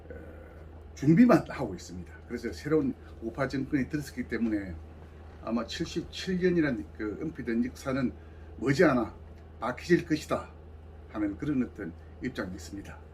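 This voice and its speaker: Speaking in a medium pitch with vocal fry, a man swings his pitch very widely and his loudness greatly, leaving long, frequent pauses. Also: moderate pace. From South Gyeongsang, Korea (Samcheonpo). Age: 70s. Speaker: civic group regional leader. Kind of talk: interview.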